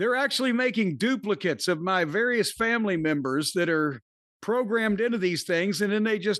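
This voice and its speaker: A man with a Midwestern accent speaks in a high voice with lively intonation. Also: quiet background. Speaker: podcast host reading an ad. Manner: comedic, rambling delivery.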